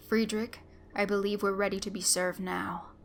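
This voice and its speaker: A woman's growling, put-on character voice at medium pitch and moderate pace, monotone and flat, with clear background noise. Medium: read story. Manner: curt, formal.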